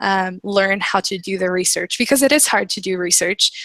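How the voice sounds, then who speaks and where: A woman speaks in a dry, close sound with no echo. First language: not English. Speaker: student in online class. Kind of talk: group discussion.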